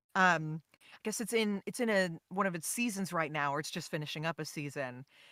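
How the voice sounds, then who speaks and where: With an American accent, a woman speaks at a fairly quick pace in a bright, sharp tone with lively intonation. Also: dry, close sound with no echo. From Texas. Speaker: voice actor. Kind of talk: interview answer. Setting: online call.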